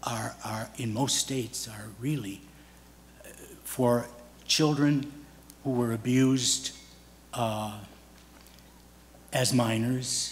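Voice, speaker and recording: A man speaks very slowly, with long, frequent pauses, a medium pitch and fairly even intonation. Room echo is audible and background noise is noticeable. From US Midwest. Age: 80s+. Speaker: audience member, abuse survivor. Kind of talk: testimony. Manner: halting.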